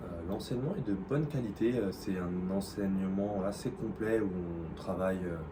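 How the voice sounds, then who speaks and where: Amid noticeable background noise and audible room echo, a man with a fairly low voice speaks fairly slowly with ordinary pitch variation. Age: 30s. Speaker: working holiday language student. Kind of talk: interview. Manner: hesitant, many fillers.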